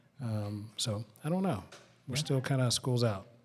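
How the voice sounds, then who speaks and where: The speech comes at a fairly quick pace in a Southern US accent. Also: man. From rural West Tennessee. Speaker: pastor. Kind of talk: live panel discussion. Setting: museum with live audience.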